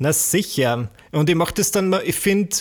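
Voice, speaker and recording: A man speaks with an Austrian accent. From Austria, rural village. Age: 20s. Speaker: YouTuber and entertainer. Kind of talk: casual chat.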